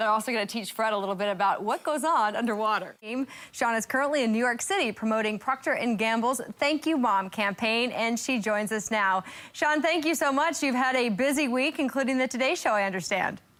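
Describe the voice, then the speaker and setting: A woman talks in an ordinary speaking voice at a fairly high pitch. Her intonation is lively and her pace fairly quick. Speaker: sports host. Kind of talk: sports TV show hosting.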